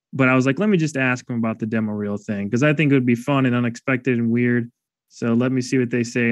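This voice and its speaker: The delivery is very fast, with fairly even intonation. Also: man. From Chicago south suburbs (Calumet City). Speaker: filmmaker and web video creator. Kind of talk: casual interview chat.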